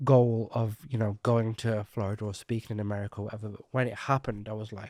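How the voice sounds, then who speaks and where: Speaking with a British accent in a medium pitch and a flat monotone, a man is heard in a very clean recording with a silent background and a dry, close sound with no echo. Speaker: marketing consultant and speaker. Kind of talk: podcast interview. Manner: fast.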